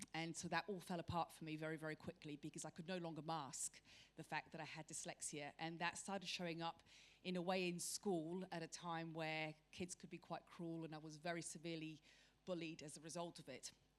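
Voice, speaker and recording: A woman's fairly low, monotone, flat voice at a fairly quick pace. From Mexico City and the UK. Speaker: panelist on dyslexia. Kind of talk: panel discussion.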